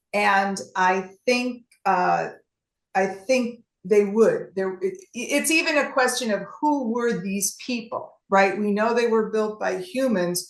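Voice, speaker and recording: Very slowly, a woman with a Chicago accent speaks in a fairly high voice with lively intonation. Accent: Chicago American English. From US Midwest, Chicago. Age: 60s. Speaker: travel presenter. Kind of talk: presentation with Q&A. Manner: halting.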